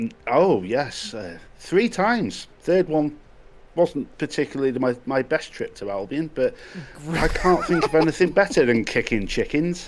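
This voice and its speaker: A man's fairly high voice with vocal fry and very wide pitch swings at a fairly slow pace. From North Wales, UK. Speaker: podcast guest, gamer. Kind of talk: casual chat.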